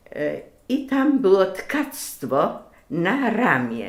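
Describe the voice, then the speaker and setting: Audible room echo surrounds a woman whose voice shows vocal fry and very wide pitch swings. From Greater Poland (Wielkopolska), western Poland. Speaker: lace maker, craftswoman. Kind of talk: personal life story interview. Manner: hesitant, with many filler sounds.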